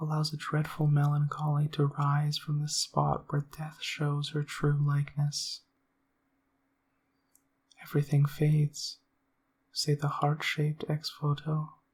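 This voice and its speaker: The speaker is soft-spoken and goes at a fairly slow pace. Long, frequent pauses break up the speech. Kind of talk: essay reading.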